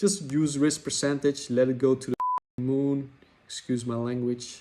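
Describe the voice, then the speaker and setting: A man with a non-native accent speaks at a fairly slow pace, his fairly high voice holding a fairly even intonation. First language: not English. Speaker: trading software developer. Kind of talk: tutorial. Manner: hesitant, with fillers; casual, chatty.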